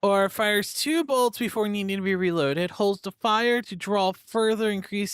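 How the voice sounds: Natural reading voice throughout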